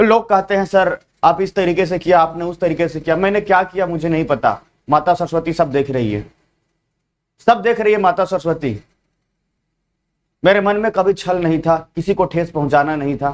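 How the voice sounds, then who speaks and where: At a moderate pace, the words come out with ordinary pitch variation. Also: man, high pitch for a man. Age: young. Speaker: online exam coaching teacher. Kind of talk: live online class address to students. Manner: earnest, pleading.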